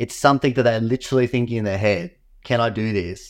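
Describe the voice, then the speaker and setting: This is a man with a plain, everyday voice and a medium pitch. He speaks at a fairly quick pace with fairly even intonation. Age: 30s. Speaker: pro wing foil competitor. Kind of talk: casual chat. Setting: video call from home.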